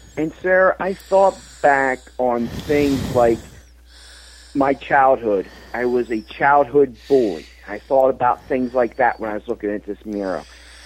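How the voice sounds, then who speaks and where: A man talks at a fairly slow pace. Background noise is noticeable behind him. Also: medium pitch for a man, lively intonation. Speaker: author and motivational speaker. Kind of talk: interview. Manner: enthusiastic.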